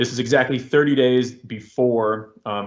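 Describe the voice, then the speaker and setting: The man's intonation is monotone and flat. His pitch is medium. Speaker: army sergeant and war veteran, guest speaker. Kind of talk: talk to cadets with slides. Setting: virtual event, video call. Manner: fast; casual, hesitant with fillers.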